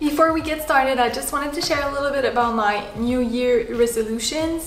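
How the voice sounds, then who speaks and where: A woman with a French Canadian accent speaks at a moderate pace in a high voice, her intonation fairly even over noticeable background noise. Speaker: home sewist, sewing vlogger. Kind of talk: casual talk to camera, sewing pattern review.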